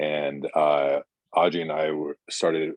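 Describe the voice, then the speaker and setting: A man's very deep, low voice in a monotone, flat delivery. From Hawaii. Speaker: spiritual community host. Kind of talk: hosting a spiritual roundtable. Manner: halting, many fillers.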